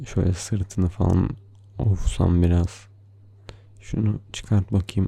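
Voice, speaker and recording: Very deep and low in pitch, a man speaks at a very slow pace in a dark, mellow, somewhat breathy voice with a playful tone, ordinary pitch variation and long, frequent pauses. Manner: soft, slow, tender and affectionate, with playful laughs.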